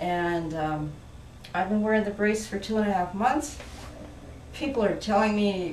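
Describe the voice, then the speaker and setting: At a moderate pace and with lively intonation, the voice comes through audible room echo and noticeable background noise. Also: woman. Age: 70s. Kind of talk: testimony.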